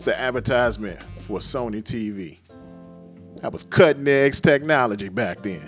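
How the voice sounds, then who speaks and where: Over music playing in the background, a man talks in a somewhat low register. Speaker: sports comedy host. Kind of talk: casual talk to camera. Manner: humorous, animated.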